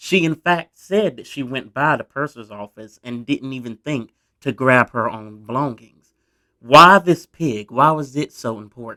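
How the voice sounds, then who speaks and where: With a Southern US accent, a man speaks at a fairly slow pace in a medium pitch, using a bright, sharp tone, ordinary pitch variation, and big swings in loudness, in a dry, close sound with no echo. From US South. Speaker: history YouTuber. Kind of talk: casual storytelling narration. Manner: conversational, informal.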